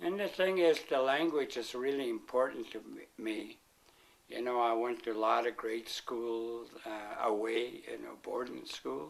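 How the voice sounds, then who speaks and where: A man speaks with a Pacific Northwest accent. His pace is fairly slow. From Flathead Indian Reservation, Montana. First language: Salish. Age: 60s. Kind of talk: interview. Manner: halting.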